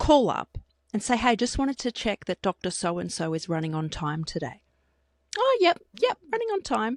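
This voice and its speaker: Animated in tone, a woman speaks at a moderate pace with very wide pitch swings, the sound dry and close with no echo. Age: 30s. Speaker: podcast co-host. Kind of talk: casual chat.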